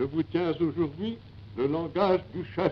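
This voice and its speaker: Lively intonation marks this man's fairly high voice. His pace is very slow. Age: 80s+. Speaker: head of state, military marshal. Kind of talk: radio address to the nation.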